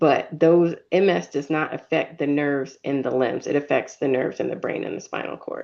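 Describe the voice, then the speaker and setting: This woman has a very deep, low pitch, vocal fry, and an American accent. Her pitch varies in an ordinary way, and she speaks at a moderate pace. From Virginia, US. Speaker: neurologist. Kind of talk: Q&A expert answers.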